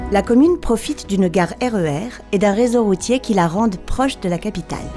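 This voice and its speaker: A woman's voice with lively intonation over music in the background. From France. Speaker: voice-over artist. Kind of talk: promotional town documentary narration. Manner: friendly.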